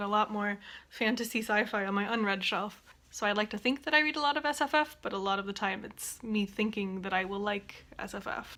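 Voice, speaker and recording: A woman with an unremarkable speaking voice at medium pitch talks at a fairly quick pace with hardly any pauses. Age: 20s. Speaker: bookseller and student. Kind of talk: casual talk to camera.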